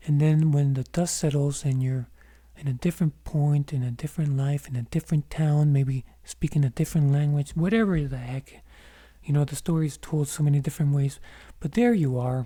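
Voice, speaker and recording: Fairly quick and fairly high-pitched, a man speaks in a somewhat breathy voice with a dark, mellow tone on a very clean recording with a silent background. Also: ordinary pitch variation. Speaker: video blogger on psychology and life. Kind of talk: casual monologue with slides. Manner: halting, with fillers.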